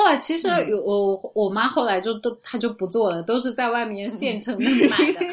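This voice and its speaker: A woman with lively intonation and hardly any pauses, over noticeable background noise. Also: fairly high pitch for a woman, moderate pace. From Urumqi, Xinjiang, China. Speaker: travel agency owner. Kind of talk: casual chat.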